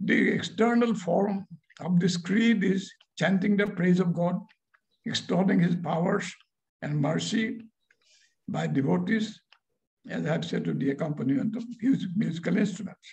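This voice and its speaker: A man with a high pitch talks at a moderate pace with ordinary pitch variation and long, frequent pauses, over a quiet background. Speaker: professor giving lecture. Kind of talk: lecture read from a paper. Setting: video call. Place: home room. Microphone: video call.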